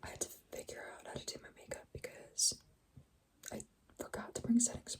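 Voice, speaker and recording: Whispering at a moderate pace, a woman speaks with an American accent. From California, small town. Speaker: ASMR youtuber. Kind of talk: casual chat. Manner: rambling, filler-heavy.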